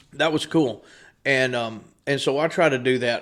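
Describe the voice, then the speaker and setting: A man with an East Texas accent, on a very clean recording against a silent background. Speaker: business owner. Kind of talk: casual chat.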